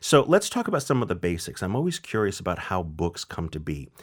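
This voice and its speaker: On a very clean recording with a silent background, a man's voice moves in very wide pitch swings. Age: 50s. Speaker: food podcast interviewer. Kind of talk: interview.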